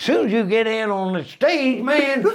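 A man talks at a moderate pace in an extremely high pitch, his pitch swinging very widely. Noticeable background noise sits behind him. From Australia. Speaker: comedian. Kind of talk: casual chat. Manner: animated.

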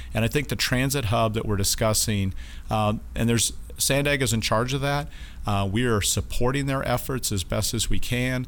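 With audible room echo, a man talks at a moderate pace in a medium pitch, his loudness very even and his pitch varying in an ordinary way. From Wyoming (Casper). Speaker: naval base commanding officer. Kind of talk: interview. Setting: studio.

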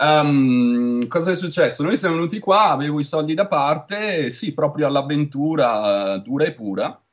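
The speech has lively intonation and a Venetian accent. It moves at a moderate pace. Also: man, fairly high pitch for a man. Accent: Venetian Italian. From Veneto, Italy. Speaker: Italian emigrant in tech retail. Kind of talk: interview. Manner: talkative.

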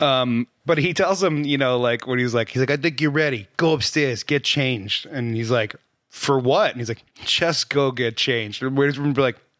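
At a moderate pace, a man talks in an ordinary speaking voice with medium pitch. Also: ordinary pitch variation. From New Jersey. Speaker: film podcast co-host. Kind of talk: casual chat.

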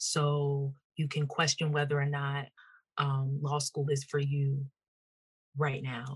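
A woman with a very deep, low pitch speaks in a flat monotone, somewhat breathy, with long, frequent pauses. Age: 30s. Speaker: entrepreneur and mother. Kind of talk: interview conversation.

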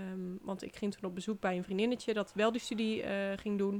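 A woman's unremarkable speaking voice at a fairly quick pace. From Netherlands, Brabant (Den Bosch). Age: 20s. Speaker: podcast host, relocation coach. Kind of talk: personal story monologue. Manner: casual, chatty with fillers.

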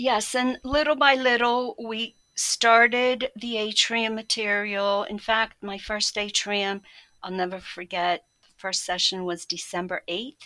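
A woman speaks very slowly. Her fairly high voice has a bright, sharp tone. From Poland. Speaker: catechist and Montessori teacher. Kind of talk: interview.

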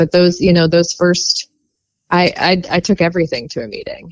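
Recorded with a dry, close sound and no echo, a woman with an American accent and a plain, everyday voice talks at a fairly quick pace and a fairly low pitch. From US, Baltimore, Maryland. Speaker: former competitive swimmer in recovery. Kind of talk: personal recovery testimony.

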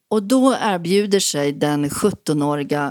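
A woman speaks with a very deep, low pitch and lively intonation. The sound is dry and close, with no echo. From Sweden. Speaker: author. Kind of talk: interview.

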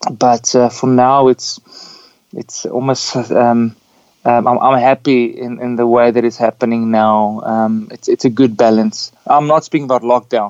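Speaking in a South African accent, a man with a medium pitch talks at a fairly slow pace with monotone, flat intonation and a dry, close sound with no echo. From Namibia. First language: Afrikaans. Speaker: pastor and singer-songwriter. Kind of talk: casual interview.

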